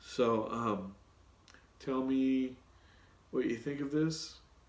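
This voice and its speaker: With long, frequent pauses, a man speaks very slowly at a medium pitch and ordinary pitch variation. Room echo is audible. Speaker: project management consultant and YouTuber. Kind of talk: solo Q&A video talk. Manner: casual with many fillers.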